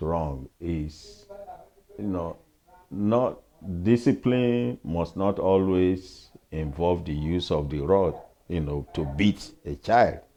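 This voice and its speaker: Talking at a very slow pace, a man with a Nigerian accent uses lively intonation and a very deep, low pitch. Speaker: pastor and retired professor. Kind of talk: interview answer.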